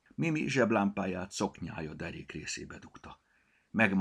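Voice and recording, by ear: A text is being read out loud. The reader's voice is natural.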